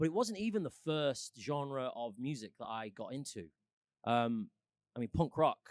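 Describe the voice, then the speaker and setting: In a Mancunian accent, a man speaks at a moderate pace and a fairly high pitch. His pitch swings very widely, and the sound is dry and close with no echo. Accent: mild Mancunian, northern English. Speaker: musician and actor. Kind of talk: casual chat.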